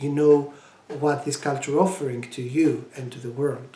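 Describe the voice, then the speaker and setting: The speaker talks at a moderate pace in a Greek accent. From Greece. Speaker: language education project presenter. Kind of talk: tutorial. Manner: halting, many fillers.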